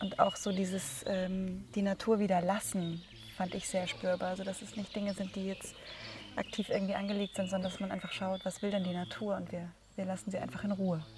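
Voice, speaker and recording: Over noticeable background noise, the speech moves at a fairly quick pace in a flat, monotone delivery. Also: woman, medium pitch for a woman. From Munich, Bavaria. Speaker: doctor and festival participant. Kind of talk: casual interview.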